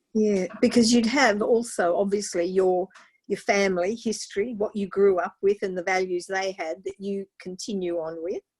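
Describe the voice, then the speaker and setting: A woman with a plain, everyday voice talks at a moderate pace, her medium pitch held in fairly even intonation. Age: 60s. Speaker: online show host. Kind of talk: interview.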